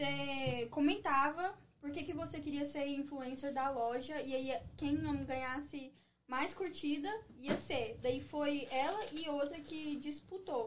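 A woman speaks at a very slow pace in a high voice with ordinary pitch variation. The room echo is audible. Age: 20s. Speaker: entrepreneur. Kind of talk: casual interview.

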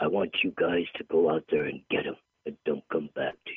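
A man's put-on character voice at a moderate pace. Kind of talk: monotone but dramatic. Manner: flat, dramatic.

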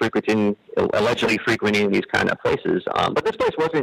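Behind a man talking fairly quickly, there is noticeable background noise. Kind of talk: casual chat.

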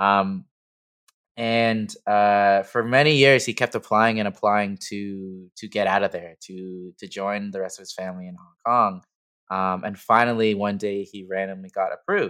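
With a Canadian accent and a normal speaking voice, a man talks at a moderate pace and a fairly low pitch, his intonation fairly even and his loudness swinging widely against a quiet background. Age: 30s. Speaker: clothing brand owner. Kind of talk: casual chat.

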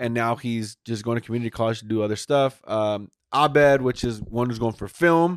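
A man at medium pitch, fairly quick and with hardly any pauses, ordinary pitch variation, in a very clean recording with a silent background and a dry, close sound with no echo. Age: 30s. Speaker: podcast host. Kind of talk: casual chat. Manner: animated.

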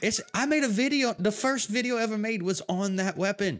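In an American accent, a high-pitched man speaks in an animated tone at a moderate pace with ordinary pitch variation. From US, Tampa, Florida. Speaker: gaming podcast host and streamer. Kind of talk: casual chat.

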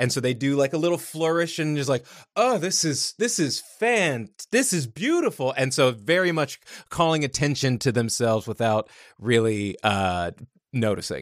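On a very clean recording with a silent background, a man with a fairly high voice swings very widely in pitch. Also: moderate pace. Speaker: tabletop game player. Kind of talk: tabletop roleplaying game session. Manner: hesitant, filler-heavy.

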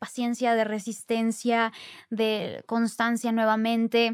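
The woman has a fairly high pitch and a normal speaking voice. The recording is very clean, with a silent background. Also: dry, close sound with no echo. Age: 20s. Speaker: actress and influencer. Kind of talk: casual chat.

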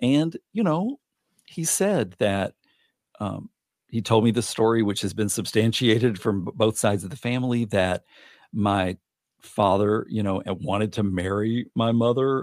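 A man with an American accent speaks in a plain, everyday voice at medium pitch, with ordinary pitch variation and a moderate pace. The recording is very clean, with a silent background and a dry, close sound with no echo. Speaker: podcast guest, adoptee. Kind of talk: casual chat.

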